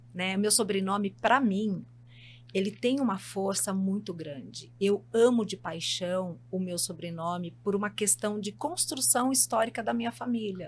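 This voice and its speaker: Somewhat breathy, a woman at medium pitch talks at a fairly slow pace with very wide pitch swings. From São Paulo, Brazil. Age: 60s. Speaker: psychologist. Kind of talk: podcast interview.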